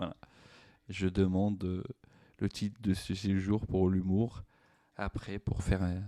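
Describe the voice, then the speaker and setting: A man with a Moroccan accent speaks at a very slow pace, with long, frequent pauses. His pitch is very deep and low, his tone dark and mellow, and his intonation monotone and flat. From Morocco. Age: 40s. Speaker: stand-up comedian. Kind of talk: podcast monologue. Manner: hesitant, many fillers.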